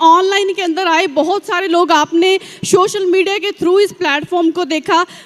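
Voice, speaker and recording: A woman with a Punjabi accent speaks at an extremely high pitch, her intonation fairly even. Noticeable background noise runs behind her. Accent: Punjabi-accented Hindi. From Punjab, India (village). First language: Punjabi (speaking Hindi). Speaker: network marketing distributor. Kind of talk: motivational success-story speech. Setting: stage at large event with audience.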